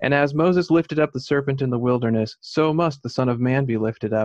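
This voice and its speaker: Against a quiet background, a man talks very fast with ordinary pitch variation, the sound dry with no echo. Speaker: Bible study participant; Bible study teacher. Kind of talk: reading aloud. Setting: video call. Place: home room. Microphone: video call.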